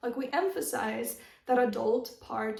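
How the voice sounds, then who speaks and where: Amid noticeable background noise and audible room echo, a woman speaks in a high-pitched voice. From Russia (Moscow), teen years in Arizona, US. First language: Russian. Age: 20s. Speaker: lifestyle YouTuber. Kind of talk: advice vlog. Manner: casual, conversational.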